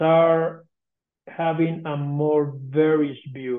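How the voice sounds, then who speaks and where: A man with a fairly high pitch talks in a Spanish accent. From Colombia. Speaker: coffee exporter. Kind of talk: interview.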